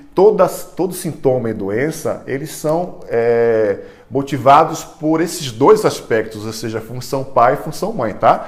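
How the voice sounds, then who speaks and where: Speaking at a fairly slow pace with lively intonation, a man with a fairly high pitch is heard against audible room echo. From Brazil, Salvador (Bahia). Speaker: neuropsychologist. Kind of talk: online class / lecture. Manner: halting, frequent repetitions and fillers.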